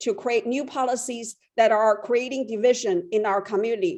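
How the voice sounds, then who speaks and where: Speaking with a Chinese accent, this woman has a fairly high pitch. The background is quiet. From China. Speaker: public commenter. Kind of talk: public comment. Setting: phone call.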